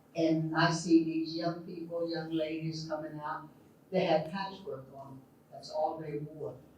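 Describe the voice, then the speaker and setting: Noticeable background noise and audible room echo surround a woman with an American accent and a very deep, low pitch. She talks at a fairly slow pace in a monotone, flat intonation, with big swings in loudness. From Oklahoma. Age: 80s+. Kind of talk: personal storytelling at community event. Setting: community hall event with audience. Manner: halting, with fillers.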